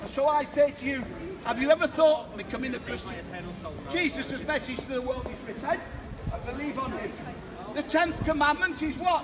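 Ordinary pitch variation and a moderate pace over noticeable background noise. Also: man. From England. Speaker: street preacher. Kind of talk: open-air street preaching. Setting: outdoors, street. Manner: loud, forceful, exhortative. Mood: confrontational, emotional. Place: street. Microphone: camera far.

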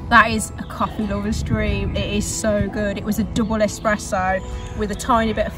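A woman speaks over clear background music. The sound is dry, with no echo. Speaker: vlogger. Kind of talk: casual vlog chat. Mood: relaxed, delighted. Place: open country.

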